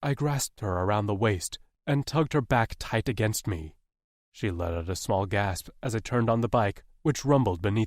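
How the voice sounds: Heard over a quiet background, a natural reading voice moves with lively intonation.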